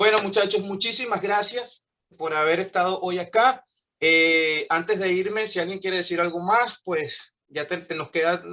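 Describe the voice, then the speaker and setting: A man speaks in a raised, projected voice at a high pitch. His pace is fairly slow, with ordinary pitch variation. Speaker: English teacher. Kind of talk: online class.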